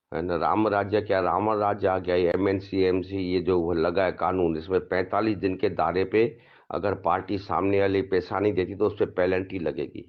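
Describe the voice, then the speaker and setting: This man has a very deep, low pitch and keeps his loudness very even, with hardly any pauses. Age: 70s. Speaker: cloth trader. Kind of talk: complaint to camera. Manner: animated.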